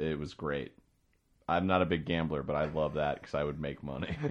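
This is a man's voice. His intonation is fairly even. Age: 20s. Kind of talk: casual chat. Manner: loud.

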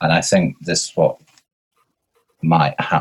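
A man speaks with a Lancashire accent. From northern England, Blackpool. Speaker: performance artist. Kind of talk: casual chat. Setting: video call.

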